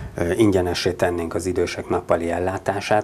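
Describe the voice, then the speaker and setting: At a fairly slow pace, a man speaks with a very deep, low pitch over light background noise. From Hungary, Budapest; Hungary. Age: 40s. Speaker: local politician, mayoral candidate; local politician, candidate. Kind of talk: studio interview. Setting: studio. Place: studio. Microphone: lapel.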